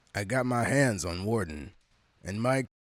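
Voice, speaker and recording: A man puts on a raspy character voice. He speaks at a moderate pace. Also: fairly low pitch for a man. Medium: audio drama.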